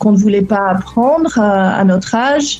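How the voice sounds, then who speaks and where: With a slight Belgian accent, a woman of fairly high pitch speaks at a very slow pace over music in the background. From Belgian family abroad, Lebanon-born. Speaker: relocation coach for remote workers. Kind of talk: interview. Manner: hesitant, many fillers and repetitions.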